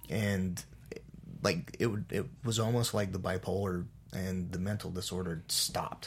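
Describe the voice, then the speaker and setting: A man's very deep, low-pitched voice comes across somewhat breathy. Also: fairly even intonation, moderate pace. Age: 40s. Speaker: race car driver and memoir author.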